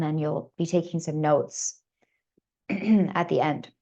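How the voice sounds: Raspy and dark with a mellow tone, a woman's voice moves at a fairly slow pace with fairly even intonation.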